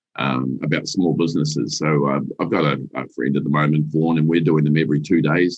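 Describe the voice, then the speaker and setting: A man speaks at a very deep, low pitch with vocal fry. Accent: New Zealand. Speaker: business executive. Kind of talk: interview. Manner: halting, many restarts.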